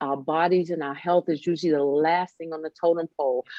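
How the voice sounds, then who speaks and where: Fairly low for a woman, her plain, everyday voice moves at a fairly quick pace with fairly even intonation. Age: 60s. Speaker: wellness podcast host. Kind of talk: casual interview chat.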